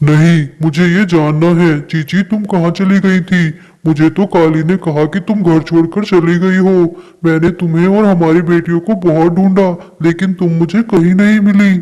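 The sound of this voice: A high-pitched man in a cartoonish character voice, at a moderate pace with hardly any pauses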